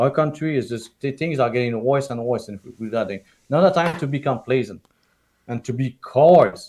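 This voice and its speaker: A man speaks with a strong French-Canadian accent at a medium pitch. His tone is passionate. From Quebec, small town. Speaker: political candidate and parent activist. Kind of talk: interview on live stream. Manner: halting, repetitive.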